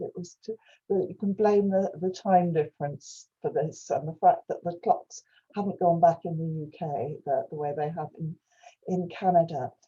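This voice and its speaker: In a dark, mellow tone that is somewhat breathy, a woman speaks at a moderate pace. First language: Welsh. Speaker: professor. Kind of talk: lecture. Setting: video call. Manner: halting.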